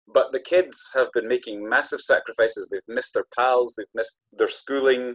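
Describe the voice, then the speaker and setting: With an Aberdeen accent, a man talks at a moderate pace. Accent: Scottish, north-east (Aberdeen). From Scotland, Aberdeen. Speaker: author and storyteller. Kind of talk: interview.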